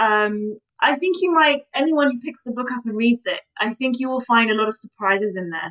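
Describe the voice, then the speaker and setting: A woman with a British accent speaks in a high pitch at a moderate pace, with lively intonation. She leaves hardly any pauses. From Britain. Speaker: historian and author. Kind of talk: interview.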